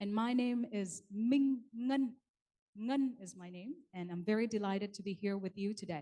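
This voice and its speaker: A woman speaks in a medium pitch with a dark, mellow tone. Her pace is moderate, with ordinary pitch variation and big swings in loudness. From Vietnam. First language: Vietnamese. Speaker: event emcee. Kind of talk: bilingual ceremony hosting. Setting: conference hall with audience. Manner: formal.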